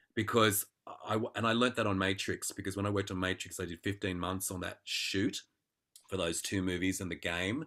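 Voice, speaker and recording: A man with an Australian accent speaks at a fairly quick pace. His voice is fairly low in pitch, with a bright, sharp tone. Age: 50s. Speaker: actor. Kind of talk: Q&A talk. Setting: video call. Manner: animated.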